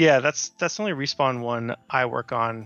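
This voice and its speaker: A man speaks in an ordinary speaking voice with a Canadian accent. His pitch is medium and varies in an ordinary way. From western Canada. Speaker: video game producer. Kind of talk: casual interview. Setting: remote call.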